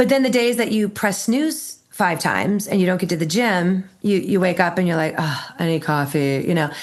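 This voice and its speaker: With an American accent, a woman talks at a moderate pace with lively intonation and hardly any pauses. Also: medium pitch for a woman. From Minnesota, US Midwest. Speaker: Marine Corps veteran and bravery expert. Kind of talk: podcast interview. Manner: animated.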